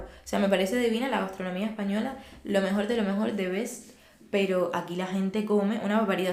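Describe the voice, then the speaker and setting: The speaker talks at a fairly quick pace amid noticeable background noise and audible room echo. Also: woman. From Cuba. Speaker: podcast guest. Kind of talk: casual interview chat.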